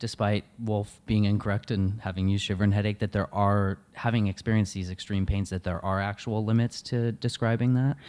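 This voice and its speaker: In a very clean recording with a silent background, a dark, mellow voice moves at a fairly quick pace with hardly any pauses. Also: man. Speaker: podcast host. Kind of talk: interview conversation.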